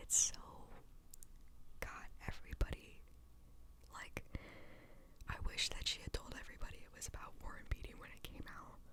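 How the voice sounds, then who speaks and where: A woman whispers at a moderate pace, with long, frequent pauses. Her loudness swings widely. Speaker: podcast host, music reviewer. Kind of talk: casual talk to camera. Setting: home recording. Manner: relaxed, chatty.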